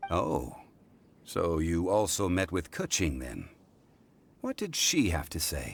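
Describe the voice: A man slowly puts on a character voice, pitched low with a slightly husky edge and vocal fry. His pitch swings very widely.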